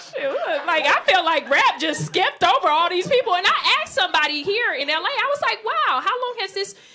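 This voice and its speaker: Raising and projecting her voice over noticeable background noise, a woman talks at a fairly quick pace in an animated tone with very wide pitch swings. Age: 30s. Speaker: comedian. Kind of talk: stand-up. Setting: stage with audience. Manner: loud.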